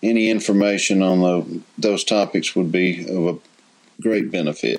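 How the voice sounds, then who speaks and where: Ordinary pitch variation shapes the fairly low pitch of a man with an unremarkable speaking voice. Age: 50s. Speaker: retiree caller. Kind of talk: recorded voicemail question.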